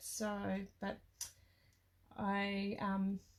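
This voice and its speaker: A woman speaks in an Australian accent. Her voice is somewhat breathy. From Australia (Tasmania). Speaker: craft product demonstrator. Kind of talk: live craft tutorial. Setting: live stream at her craft desk. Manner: hesitant, many fillers.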